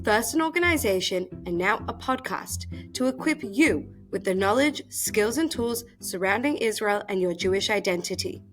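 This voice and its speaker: The speaker's intonation rises and falls in a lively way. Behind the voice, music plays. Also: woman. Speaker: podcast host. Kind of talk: podcast intro.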